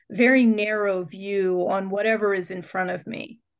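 A woman with an American accent speaks at a medium pitch with ordinary pitch variation. She has a plain, everyday voice. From central Pennsylvania. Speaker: nature therapy guide and former pastor. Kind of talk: interview conversation. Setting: studio.

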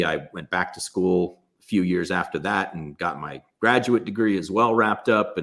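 With an American accent, this man speaks at a very deep, low pitch. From US West Coast, Los Angeles. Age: 40s. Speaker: gym owner and entrepreneur. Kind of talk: casual interview. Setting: video call.

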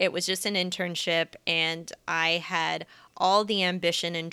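In a Midwestern US accent, a woman speaks at a fairly slow pace with a fairly low pitch and a bright, sharp tone. The recording is very clean, with a silent background. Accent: General American (Midwestern). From US Midwest, Kansas City. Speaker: personal finance educator and YouTuber. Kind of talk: interview.

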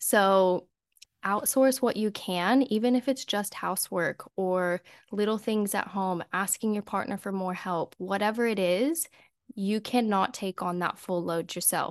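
A woman speaks at a fairly slow pace in a medium pitch, with ordinary pitch variation and a plain, everyday voice. The sound is dry and close with no echo, over a quiet background. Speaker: podcast host. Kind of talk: casual interview chat.

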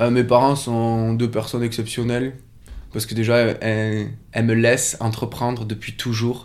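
A man's monotone, flat voice at a moderate pace, with audible room echo. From French Pyrenees. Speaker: yoga teacher and studio co-owner. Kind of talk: casual interview.

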